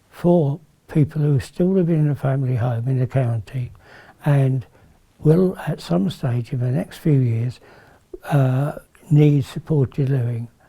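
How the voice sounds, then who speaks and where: A man with a dark, mellow tone speaks at a fairly high pitch, somewhat breathy, with lively intonation and a moderate pace. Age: 70s. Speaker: family carer. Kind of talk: interview testimony.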